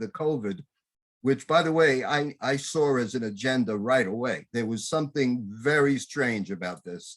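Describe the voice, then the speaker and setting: Using a normal speaking voice, a man talks at a moderate pace with medium pitch and lively intonation. The recording is very clean, with a silent background. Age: 60s. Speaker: talk show host. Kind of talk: interview.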